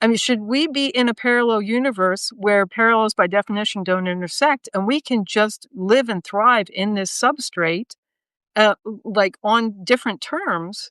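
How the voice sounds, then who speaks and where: On a very clean recording with a silent background, a woman speaks at a moderate pace with ordinary pitch variation, the sound dry and close with no echo. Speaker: podcast guest, former corporate professional. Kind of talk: casual discussion. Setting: live video stream. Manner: halting, many fillers and restarts.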